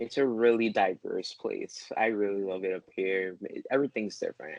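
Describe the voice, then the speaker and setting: Recorded dry and close with no echo, the speaker talks at a moderate pace with a New York accent. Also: man. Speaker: photography student. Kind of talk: casual conversation.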